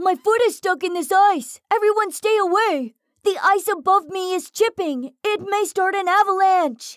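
This is a put-on character voice at an extremely high pitch. It moves at a moderate pace. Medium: read story. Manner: urgent, warning.

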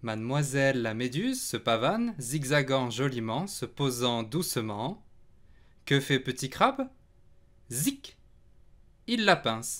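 A man's gentle, playful tone at a medium pitch, with lively intonation, a very slow pace and long, frequent pauses, on a very clean recording with a silent background. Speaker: storybook reader. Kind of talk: bedtime story reading aloud to children, picture book narration. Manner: gentle, unhurried, playful storyteller; animated, sound effects on 'zic zic zic'.

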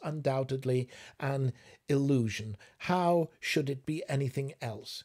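A natural reading voice carries the whole clip.

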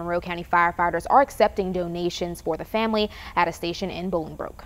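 This woman talks at a very fast pace in a fairly low voice. Her intonation stays monotone and flat. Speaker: news reporter. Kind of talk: news report. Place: studio.

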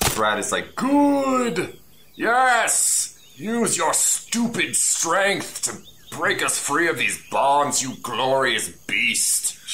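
Over clear background noise, a man uses a put-on character voice, pitched high, and speaks at a very slow pace. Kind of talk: comic overacting. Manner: bombastic, gallant, condescending.

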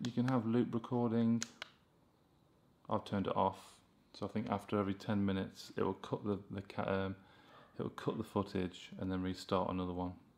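With light background noise behind him, a man speaks at a moderate pace in a fairly low pitch, his intonation fairly even. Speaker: tech reviewer. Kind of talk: tutorial. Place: home room.

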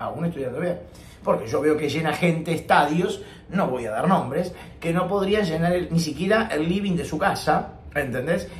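At a moderate pace, a man talks at a high pitch with ordinary pitch variation. There is audible room echo and light background noise. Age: 50s. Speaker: professional tenor and singing teacher; singing teacher. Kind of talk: vlog monologue. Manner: serious; halting, repeats words. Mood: serious, earnest. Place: home room. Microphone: webcam.

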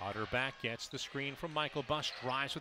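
A man's fairly high voice at a fairly quick pace, ordinary pitch variation, dry echo-free sound, and noticeable background noise. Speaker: radio play-by-play announcer. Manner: fast talker, animated, rising excitement on big shots; short punchy phrases, building to a celebratory finish. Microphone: headset.

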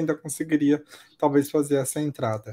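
A man's dark, mellow voice of fairly high pitch, dry and close with no echo, on a very clean recording with a silent background. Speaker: betting analyst co-commentator. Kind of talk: live sports commentary. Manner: relaxed, chatty.

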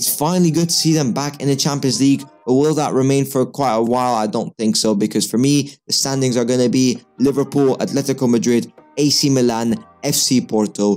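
Fairly quick speech from a man, with ordinary pitch variation and faint music in the background. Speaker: football commentator on a channel. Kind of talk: commentary. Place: home room. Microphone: studio mic.

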